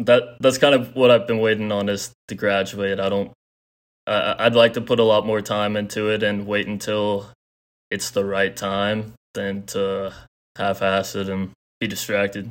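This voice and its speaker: A man's fairly low voice at a moderate pace, in a monotone, flat intonation. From Texas. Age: 20s. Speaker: college student and crypto investor. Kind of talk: interview.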